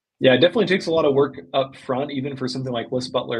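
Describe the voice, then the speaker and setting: A somewhat breathy man with an American accent, medium in pitch, with ordinary pitch variation. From US South, Arkansas. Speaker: e-commerce agency owner. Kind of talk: podcast interview.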